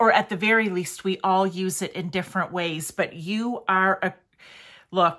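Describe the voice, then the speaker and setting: A woman's bright, sharp tone at a fairly slow pace. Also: very clean recording, silent background. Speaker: tarot reader. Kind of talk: tarot reading to camera.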